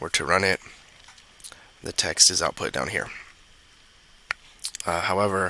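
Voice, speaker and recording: A man's very deep, low-pitched voice at a moderate pace, broken by long, frequent pauses, over noticeable background noise. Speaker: computer science student. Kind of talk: tutorial. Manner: halting with pauses.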